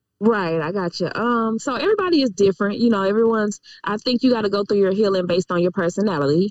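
A woman with an American accent at medium pitch, very fast pace and ordinary pitch variation, with hardly any pauses. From Illinois. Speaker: life coach. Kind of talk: casual interview chat. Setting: phone call, in a car.

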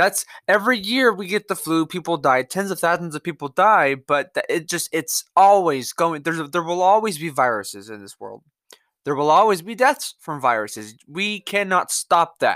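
A woman's fairly low voice with vocal fry at a moderate pace, very wide pitch swings and big swings in loudness, dry and close with no echo, on a very clean recording with a silent background. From US South, Mississippi. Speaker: podcast host. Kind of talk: solo opinion monologue. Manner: halting, disfluent; casual, profane, opinionated.

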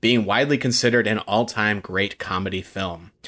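An ordinary speaking voice with ordinary pitch variation moves at a fairly quick pace. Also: man. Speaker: podcast co-host. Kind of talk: casual chat.

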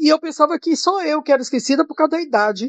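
Against a quiet background, a woman speaks at a fairly quick pace in a dry, close sound with no echo. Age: 70s. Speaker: church member, mother. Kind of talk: casual Bible study discussion.

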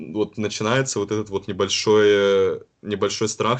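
A man has an unremarkable speaking voice at fairly low pitch, with fairly even intonation. He keeps a moderate pace over a quiet background. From Karelia, northwest Russia. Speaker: university student. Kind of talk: casual interview.

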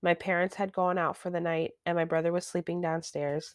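A moderate pace in a dry, close sound with no echo. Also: woman. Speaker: podcast co-host reading stories. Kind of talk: creepypasta horror narration, read aloud. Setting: remote recording session. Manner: casual, chatty, reacts with groans and laughs.

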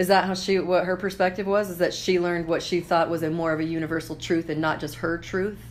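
A woman's fairly low, monotone, flat voice with an American accent at a very fast pace with hardly any pauses, over noticeable background noise. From Idaho, US. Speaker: podcast host, comedian and entrepreneur. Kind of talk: casual chat.

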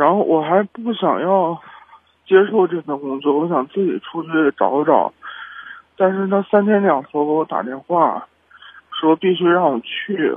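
Pausing long and often, a man speaks at a fairly slow pace in a high pitch with ordinary pitch variation. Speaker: radio call-in caller. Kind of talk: call-in conversation. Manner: halting.

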